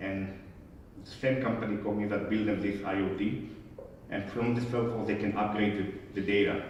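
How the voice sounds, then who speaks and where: A man's fairly low voice with a non-native accent, monotone and flat, at a moderate pace with long, frequent pauses and audible room echo. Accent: noticeable foreign. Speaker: conference speaker, medical device service executive. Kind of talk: conference talk Q&A.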